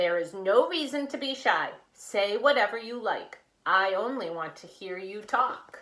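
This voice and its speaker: This female-sounding voice does a put-on character voice at a moderate pace, pitched at a medium level for a woman. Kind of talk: regal. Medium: read story.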